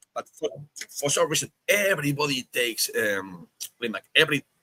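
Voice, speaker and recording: With a Spanish accent, a man speaks at a fairly quick pace in a fairly high, bright, sharp voice. The sound is dry and close with no echo. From Spain. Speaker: podcast host. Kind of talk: casual chat.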